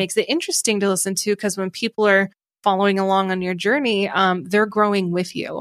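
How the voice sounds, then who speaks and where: Talking at a very fast pace, a woman with an American accent holds a medium pitch and fairly even intonation on a very clean recording with a silent background. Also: dry, close sound with no echo. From Ohio. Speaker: podcast studio founder. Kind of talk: casual interview chat.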